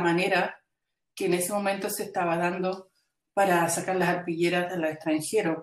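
Her voice is that of a woman at a medium pitch. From Chile. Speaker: textile artist and educator. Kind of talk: interview. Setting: video call. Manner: halting, many repetitions.

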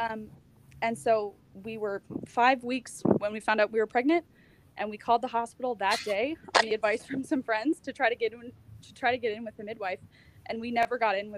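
Speaking with an American accent, a woman uses a fairly high pitch, fairly even intonation, big swings in loudness and long, frequent pauses, all in a dry, close sound with no echo. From United States. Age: 20s. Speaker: mother sharing birth story. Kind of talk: casual interview.

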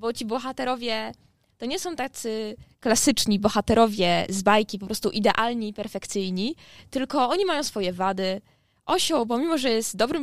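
A woman's fairly high voice, an ordinary speaking voice, with lively intonation at a moderate pace. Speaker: university student. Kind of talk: class presentation.

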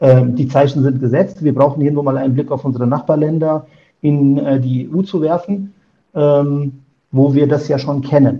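The voice is somewhat breathy, at a moderate pace with fairly even intonation. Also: man, fairly high pitch for a man. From Germany. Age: 50s. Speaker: insurance broker. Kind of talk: interview. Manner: hesitant with many filler sounds.

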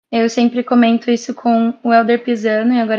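A high-pitched woman's voice at a moderate pace. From Brazil, Bauru, São Paulo. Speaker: missionary. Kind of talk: casual chat and testimony.

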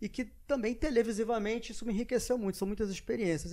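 Against quiet surroundings, a man speaks at a very fast pace. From Brazil, Rio de Janeiro (Arpoador). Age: 40s. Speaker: former TV sports presenter. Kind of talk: casual interview chat.

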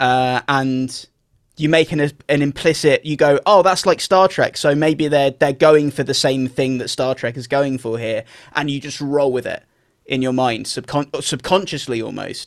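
Pitched fairly high, a man speaks in a plain, everyday voice at a moderate pace with fairly even intonation, in a dry, close sound with no echo. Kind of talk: casual chat, video game discussion. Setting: remote recording.

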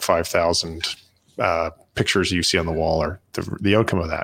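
With a Canadian accent, a man talks in fairly even intonation. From Canada. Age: 50s. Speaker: entrepreneur. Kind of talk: casual interview chat.

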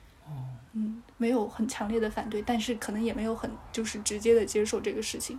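Fairly quick and with hardly any pauses, the voice has a dark, mellow tone, sounds somewhat breathy, shows ordinary pitch variation, and carries audible room echo. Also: woman, fairly high pitch for a woman. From Sichuan (Dujiangyan, Chengdu Plain). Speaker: podcast guest. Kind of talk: casual chat.

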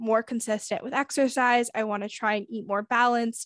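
A woman with an American accent has a normal speaking voice, a fairly high pitch and fairly even intonation, recorded with a dry, close sound, no echo and a quiet background. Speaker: podcast host. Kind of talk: casual chat.

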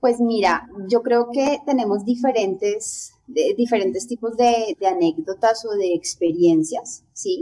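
The speech moves at a very slow pace with hardly any pauses. The intonation is lively. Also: woman, fairly high pitch for a woman. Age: 30s. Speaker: belly dancer and dance teacher. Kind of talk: interview.

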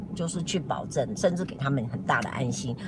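Through noticeable background noise and audible room echo, a woman with a very deep, low pitch swings her pitch very widely. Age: 60s. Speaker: YouTuber host. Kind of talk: casual live-stream chat. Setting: in a car, driving.

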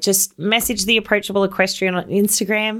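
Recorded very cleanly against a silent background, a speaker with an Australian accent talks in an enthusiastic, warm tone. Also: woman. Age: 30s. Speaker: podcast host, equestrian rider. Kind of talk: solo motivational podcast monologue.

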